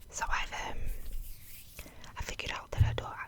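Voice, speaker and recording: A woman whispers while noticeable background noise carries on behind her. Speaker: ASMR creator. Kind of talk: casual talk to camera. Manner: soft-spoken, quiet.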